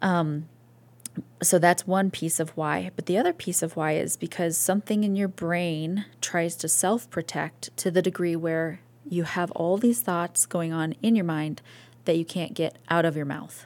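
A woman with an American accent speaks at a fairly slow pace in a normal speaking voice, her fairly low pitch moving with ordinary variation. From US Northeast/Midwest (New York, Ohio). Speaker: pastor's wife and mother. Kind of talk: testimony. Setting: podcast interview.

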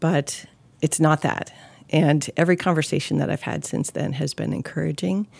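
The sound is dry and close, with no echo. Speech moves at a moderate pace. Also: woman. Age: 40s. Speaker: church staff member sharing her story. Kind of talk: testimony. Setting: studio.

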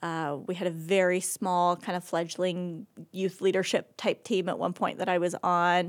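On a very clean recording with a silent background, a woman with an American accent speaks at a moderate pace in a fairly low pitch, her intonation flat and monotone. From Oregon, US Pacific Northwest. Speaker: church member sharing life story. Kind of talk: casual interview testimony.

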